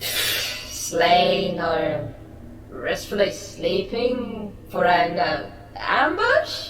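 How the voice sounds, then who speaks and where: A female-sounding cartoonish character voice moves at a very slow pace with a slight echo. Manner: dismissive, blasé.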